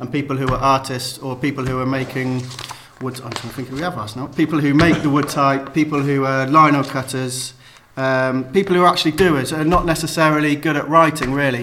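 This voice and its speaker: A man talks in a fairly high voice with fairly even intonation. Noticeable background noise is present. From Cheltenham, England. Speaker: letterpress printer. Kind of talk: interview conversation. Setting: office studio. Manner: hesitant, many fillers.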